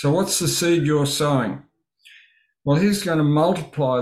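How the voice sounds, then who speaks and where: A man with an Australian accent and a fairly high pitch is heard on a very clean recording with a silent background. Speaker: Bible study host. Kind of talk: livestream Bible study. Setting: livestream from home studio.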